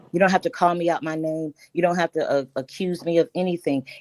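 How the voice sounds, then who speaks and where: Recorded dry and close with no echo, a woman speaks in a fairly low voice with a dark, mellow tone. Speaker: panel guest in online debate. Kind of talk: heated debate. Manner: formal, measured.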